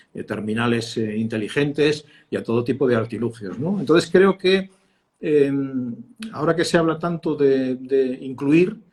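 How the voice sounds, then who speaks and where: His pitch is fairly high and his intonation lively. The man talks at a fairly slow pace. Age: 60s. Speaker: communications consultant, former radio and TV journalist. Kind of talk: interview. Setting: live stream. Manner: hesitant, many fillers.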